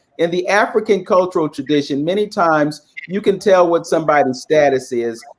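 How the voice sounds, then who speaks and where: A normal speaking voice from a man, with lively intonation at a fairly quick pace. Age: 60s. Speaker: panel guest. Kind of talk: panel discussion.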